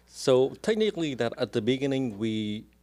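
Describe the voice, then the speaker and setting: A man speaks with a strong Vietnamese accent. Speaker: real estate agent. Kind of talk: podcast interview. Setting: studio.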